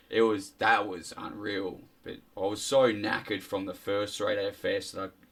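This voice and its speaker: Amid noticeable background noise, a man with an Australian accent speaks with big swings in loudness. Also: moderate pace. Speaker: podcast guest. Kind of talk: casual chat. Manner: animated.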